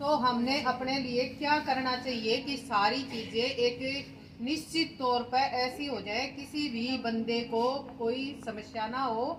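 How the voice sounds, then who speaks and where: Amid noticeable background noise and audible room echo, a woman speaks loudly in a high, monotone, flat voice. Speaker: lecturer. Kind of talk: lecture.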